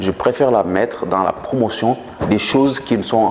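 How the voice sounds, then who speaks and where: A man talks at medium pitch and a moderate pace with ordinary pitch variation. Noticeable background noise runs underneath. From Senegal. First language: Manjak (speaking French). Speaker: author and politician. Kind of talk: interview. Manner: hesitant with fillers.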